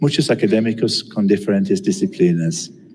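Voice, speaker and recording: The pitch swings are very wide. Audible room echo is present. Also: man. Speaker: geography professor. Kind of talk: lecture. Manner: halting.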